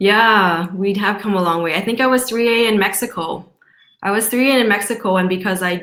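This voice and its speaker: A woman's plain, everyday voice at medium pitch, with very even loudness, a fairly quick pace and ordinary pitch variation. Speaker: network marketing distributor. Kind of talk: video call Q&A.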